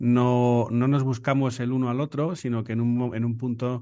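With a dark, mellow tone and medium pitch, a man speaks against a quiet background. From Spain, Salamanca province. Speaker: photographer and videographer. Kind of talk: interview. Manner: halting, with many repeated words.

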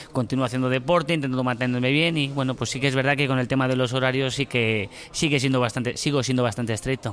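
Very fast male speech at medium pitch, with hardly any pauses and very even loudness. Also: fairly even intonation. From Spain (Burgos). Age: 30s. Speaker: former footballer, civil servant. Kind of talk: casual interview. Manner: halting, with repetitions.

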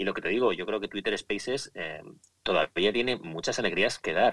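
A man's bright, sharp tone with ordinary pitch variation and a dry, close sound free of echo. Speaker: podcaster. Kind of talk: casual chat. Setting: Twitter Spaces live audio room.

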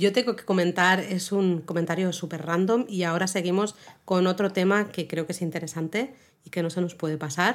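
In a normal speaking voice of medium pitch, a woman talks at a fairly quick pace with fairly even intonation. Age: 40s. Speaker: podcast co-host. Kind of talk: casual chat.

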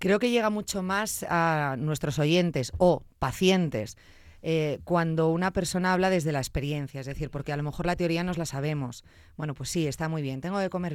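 A woman with a plain, everyday voice talks at a moderate pace, her pitch fairly low and its variation ordinary. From Zamora, Spain. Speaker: radio and podcast host. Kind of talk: interview.

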